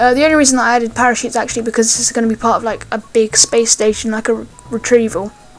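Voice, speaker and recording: A woman speaks at a fairly quick pace with a fairly high pitch. Music plays in the background. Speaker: gaming YouTuber. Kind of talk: gameplay commentary. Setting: home recording. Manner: hesitant, many fillers; volume goes loud and soft.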